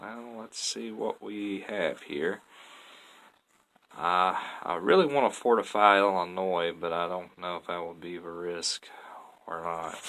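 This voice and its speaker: A man with a Southern US accent speaks at a fairly slow pace in a very deep, low voice, leaving long, frequent pauses. His loudness swings widely. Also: ordinary pitch variation. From US South, Tennessee. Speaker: gaming YouTuber. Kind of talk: gameplay commentary. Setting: playing online game while recording. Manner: casual, chatty.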